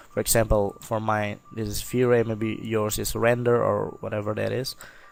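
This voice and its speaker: A man talks in a non-native accent. His pace is moderate. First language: not English. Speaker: software tutorial creator. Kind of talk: tutorial. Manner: hesitant, many fillers.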